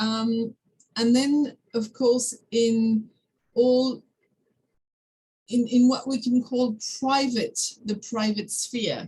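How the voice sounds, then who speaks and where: A woman with a high-pitched, dark, mellow voice speaks in a flat monotone at a very slow pace, leaving long, frequent pauses. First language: French. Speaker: academic discussant. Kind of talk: seminar discussion. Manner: halting, many fillers.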